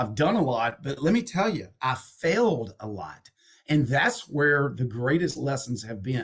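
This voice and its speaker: A man talks with a slight Southern accent. His pitch swings very widely. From Texas and Alabama. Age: 50s. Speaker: entrepreneur and investor, author. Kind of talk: podcast interview. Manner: animated.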